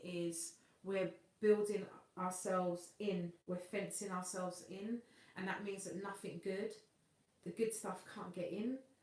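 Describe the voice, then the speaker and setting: In a Cockney accent, a woman speaks at a fairly slow pace. Her intonation is fairly even. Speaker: singer and vocal coach hosting a livestream. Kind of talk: live stream chat reading viewer comments.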